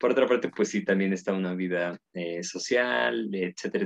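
Recorded with a dry, close sound and no echo, a man speaks at a moderate pace in a very deep, low pitch. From Mexico, Puebla. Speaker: philosophy researcher and professor. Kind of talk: casual interview.

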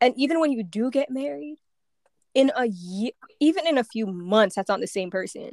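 Her high-pitched voice swings very widely in pitch as this woman speaks at a moderate pace, the sound dry and close with no echo. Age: 20s. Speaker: podcast co-host. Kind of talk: casual chat.

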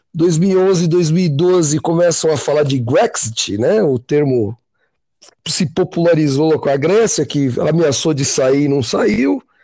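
A man's fairly high voice, dark and mellow in tone, with lively intonation, very even loudness and a very slow pace, over a quiet background. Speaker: podcast host. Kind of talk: casual chat. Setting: call.

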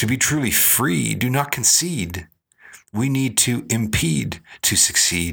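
A man with a medium-pitched voice, bright and sharp in tone with vocal fry, speaks very slowly at a very even loudness while his pitch swings very widely. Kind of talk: spoken word poetry, rhythmic rhyming performance. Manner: rhythmic, rhyme-driven, punchy delivery with emphatic cadence; reflective, earnest, introspective.

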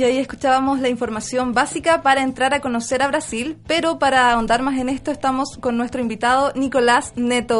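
A woman talks at a high pitch in a monotone with flat intonation, moving at a fairly quick pace with hardly any pauses. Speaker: radio host. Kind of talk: casual radio chat.

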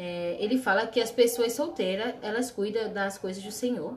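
A normal speaking voice. It moves at a fairly slow pace. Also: woman. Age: 20s. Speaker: nursing student. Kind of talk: casual chat.

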